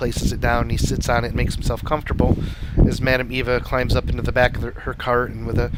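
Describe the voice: The pitch stays mostly level. What we hear is plain reading aloud.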